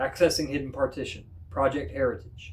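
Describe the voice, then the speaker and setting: A man puts on a robotic character voice at medium pitch. He goes at a fairly quick pace, with clear background noise. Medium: read story. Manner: flat, mechanical.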